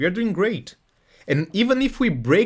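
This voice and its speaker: In a Portuguese accent, a man speaks at a moderate pace with very wide pitch swings on a very clean recording with a silent background. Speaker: crypto trading streamer. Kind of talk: live stream technical analysis and chat reading. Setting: live stream. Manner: casual, repetitive with fillers.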